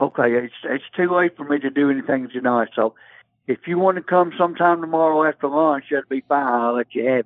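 An ordinary speaking voice from a man, fairly high in pitch, at a fairly quick pace with ordinary pitch variation. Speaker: person selling items through a local swap listing. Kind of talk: phone conversation with a stranger. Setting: phone call. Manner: polite, folksy.

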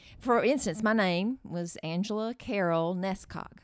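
Against a silent background in a very clean recording, a woman with an ordinary speaking voice talks at a fairly slow pace in a medium pitch. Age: 50s. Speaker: host's mother, advice giver. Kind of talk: casual chat.

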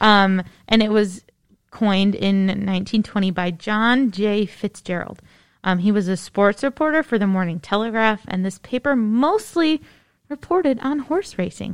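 Speaking in an ordinary speaking voice, a woman uses lively intonation at a medium pitch and a fairly slow pace, on a very clean recording with a silent background. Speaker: podcast host, librarian. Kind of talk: casual chat. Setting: studio.

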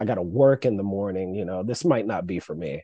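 A man speaks at a fairly quick pace with lively intonation and a dark, mellow tone. The sound is dry and close, with no echo. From North Carolina. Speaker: stand-up comedian and jiu-jitsu coach. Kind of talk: casual interview chat.

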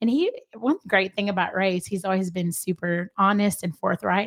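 A woman with a medium pitch speaks at a moderate pace, her voice somewhat breathy. The sound is dry and close, with no echo. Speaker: guest. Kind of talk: casual interview, sharing testimony.

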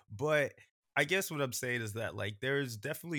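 A man talks at a very fast pace. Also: very clean recording, silent background. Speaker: podcast guest, fellow podcaster. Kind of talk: casual chat. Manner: animated.

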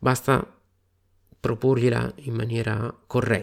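A man's medium-pitched voice. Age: 40s. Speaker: wargaming podcast host. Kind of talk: solo podcast monologue. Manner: animated.

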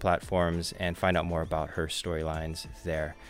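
A man is speaking. Music plays in the background. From Hawaii. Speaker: podcast host. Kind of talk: casual chat. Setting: studio.

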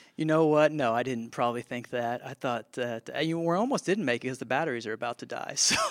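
Medium-pitched male speech at a very fast pace with hardly any pauses and ordinary pitch variation, dry and close with no echo, over noticeable background noise. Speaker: podcast co-host. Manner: upbeat, jokey.

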